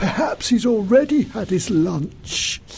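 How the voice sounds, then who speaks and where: A put-on character voice, pitched fairly high, speaks at a fairly slow pace over clear background noise. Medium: read story.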